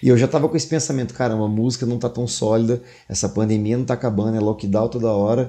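With a quiet background, a man speaks very fast in a dark, mellow tone at medium pitch, his intonation fairly even. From interior of São Paulo state, Brazil (São José do Rio Preto), teen years in Salvador. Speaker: singer and podcaster. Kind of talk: casual interview.

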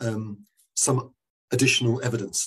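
A man's somewhat breathy, medium-pitched voice with a southern English accent. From London, England. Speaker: neurologist. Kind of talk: interview answers, explanatory. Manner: hesitant, many fillers and repeated words.

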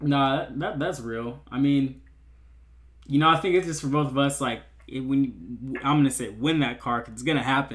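At a moderate pace, this plain, everyday voice shows ordinary pitch variation. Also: man, fairly high pitch for a man. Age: 19. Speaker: podcast host, college student. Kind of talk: casual interview chat. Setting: video call.

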